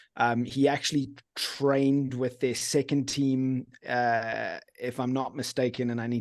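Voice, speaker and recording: A man with a strong British accent speaks at a moderate pace with fairly even intonation. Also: quiet background. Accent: pretty strong British. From England (born Guildford, Surrey). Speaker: football fan guest. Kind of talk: casual chat.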